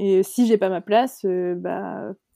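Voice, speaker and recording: The voice has a dark, mellow tone, and the sound is dry and close, with no echo. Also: woman. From northern France, Côte d'Opale. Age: 20s. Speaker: novelist. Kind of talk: casual chat.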